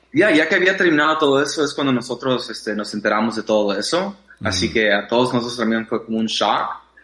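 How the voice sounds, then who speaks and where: Man at a very fast pace, noticeable background noise. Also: medium pitch for a man, hardly any pauses. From Mexico, raised in US from age six. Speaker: dancer. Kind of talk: interview. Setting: remote call. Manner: hesitant with many fillers.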